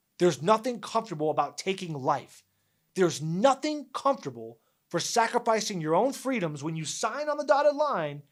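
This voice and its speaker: With an American accent, a man speaks at a fairly quick pace with very wide pitch swings on a very clean recording with a silent background. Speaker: army veteran and sports podcast host. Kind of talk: opinion monologue podcast. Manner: emphatic.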